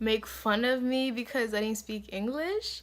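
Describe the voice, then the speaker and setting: A woman speaks with fairly even intonation. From Africa. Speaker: beauty vlogger. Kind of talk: casual chat.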